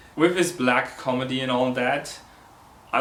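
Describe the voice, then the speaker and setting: Noticeable background noise and audible room echo surround a man talking at a fairly slow pace. His pitch is medium, with ordinary pitch variation. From Switzerland. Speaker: film reviewer. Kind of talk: film review vlog.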